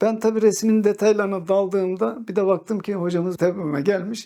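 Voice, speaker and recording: A man with a high pitch, at a moderate pace. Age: 60s. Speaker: calligrapher. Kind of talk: personal storytelling monologue.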